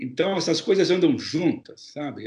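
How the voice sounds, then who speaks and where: The man's pitch is high. He talks at a fairly quick pace. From Brazil, São Paulo. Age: 60s. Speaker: journalist, foreign correspondent. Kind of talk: interview.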